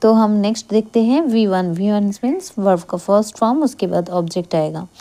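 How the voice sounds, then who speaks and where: A woman with a Bengali accent and a dark, mellow tone, fairly high in pitch with ordinary pitch variation. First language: Bengali (speaking Hindi). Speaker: English grammar teacher. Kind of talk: tutorial.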